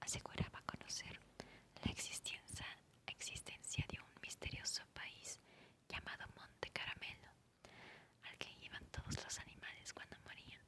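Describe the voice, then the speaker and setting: Whispering at a fairly slow pace, a woman leaves long, frequent pauses, her loudness swinging widely over noticeable background noise. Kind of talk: whispered ASMR audiobook reading for sleep. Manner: whispered, soft-spoken.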